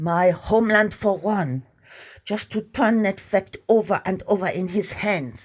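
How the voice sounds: Intonation stays fairly even as the speaker reads in a natural voice.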